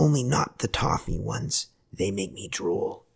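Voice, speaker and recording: A man whispers in a put-on character voice. The sound is raspy. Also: moderate pace. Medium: read story. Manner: whispering.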